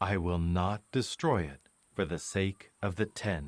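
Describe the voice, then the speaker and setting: A man speaks at a fairly slow pace in a put-on character voice. His pitch is very deep and low, with a solemn tone. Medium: audio drama. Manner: measured, solemn.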